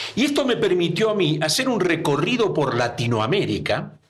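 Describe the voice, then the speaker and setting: Amid audible room echo, a man with a high pitch speaks at a moderate pace with very wide pitch swings. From Argentina. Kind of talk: interview. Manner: halting.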